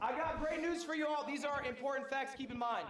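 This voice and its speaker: There is audible room echo around this man's voice. His pitch is extremely high, with ordinary pitch variation. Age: 30s. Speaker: streamer teaching a class on streaming. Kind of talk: live seminar presentation to a room of students. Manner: animated.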